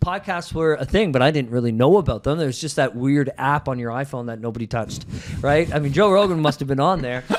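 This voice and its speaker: Speaking at a very fast pace, a man with a Canadian accent has a fairly high pitch and ordinary pitch variation. Noticeable background noise is present. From Ontario, Canada. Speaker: realtor and team leader. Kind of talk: casual interview conversation. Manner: loud.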